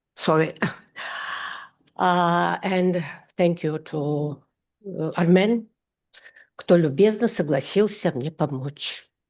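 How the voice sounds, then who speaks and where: With a Russian accent, a woman speaks very slowly in a fairly low voice with ordinary pitch variation, leaving long, frequent pauses against a quiet background. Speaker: art critic and curator. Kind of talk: conference presentation. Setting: conference stage with audience. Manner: halting.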